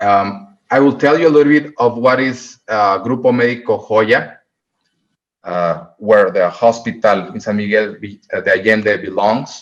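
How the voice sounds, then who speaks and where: A man with a Mexican accent talks at a fairly slow pace with ordinary pitch variation. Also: medium pitch for a man. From Mexico, Puerto Vallarta. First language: Spanish. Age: 30s. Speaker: hospital medical director. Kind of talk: presentation to a club. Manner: halting.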